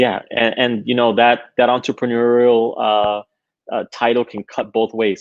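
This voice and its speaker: In a Spanish accent, a man speaks with monotone, flat intonation. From Queens, New York (born in Honduras). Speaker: tech entrepreneur. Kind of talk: interview. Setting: live stream.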